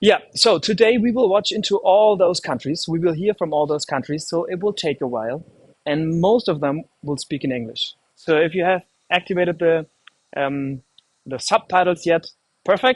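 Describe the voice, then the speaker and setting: A man with a German accent talks at a moderate pace and a high pitch with lively intonation, in a dry, close sound with no echo. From Germany. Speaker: live stream host. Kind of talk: live stream presenting. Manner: casual, hesitant with fillers.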